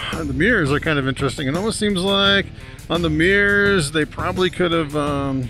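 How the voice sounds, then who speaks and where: A man speaks over clear background music. The sound is dry, with no echo. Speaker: motorcycle reviewer. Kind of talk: casual moto vlog commentary. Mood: amused, curious. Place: motorbike. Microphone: helmet.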